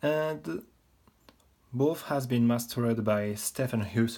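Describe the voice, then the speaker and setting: Ordinary pitch variation and a dark, mellow tone in a very clean recording with a silent background. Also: man. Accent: non-native. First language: not English. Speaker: model kit reviewer. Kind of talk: product review tutorial. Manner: halting.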